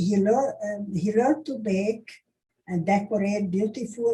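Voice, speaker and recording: A woman speaks at a fairly slow pace with a medium pitch and ordinary pitch variation. Her voice is somewhat breathy. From Hungary (Budapest). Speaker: Holocaust survivor recounting history. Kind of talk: oral history testimony. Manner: halting, many hesitations.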